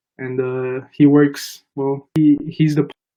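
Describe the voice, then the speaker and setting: A man speaks with a fairly high pitch and a dark, mellow tone. His intonation is monotone and flat. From Brazil. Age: 20s. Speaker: aviation photographer and student. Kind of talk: casual interview chat. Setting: live stream.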